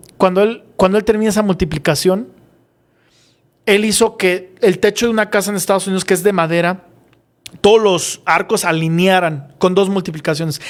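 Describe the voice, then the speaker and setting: Here a man speaks at a high pitch and a fairly quick pace. His intonation stays fairly even. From Mexico, San Miguel de Allende. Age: young. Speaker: aerospace engineer. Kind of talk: interview. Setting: live stream. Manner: halting.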